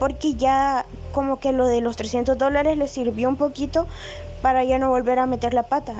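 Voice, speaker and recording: Over music in the background, a woman speaks at a high pitch in a monotone, flat intonation. Her pace is moderate and her loudness very even. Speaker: poet. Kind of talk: casual chat.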